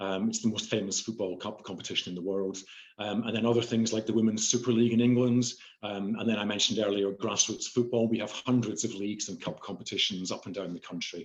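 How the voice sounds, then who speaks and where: In a slight Scottish accent, a man talks at a very fast pace in a fairly low, monotone, flat voice. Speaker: chief information officer. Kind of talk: panel discussion. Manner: hesitant, many fillers.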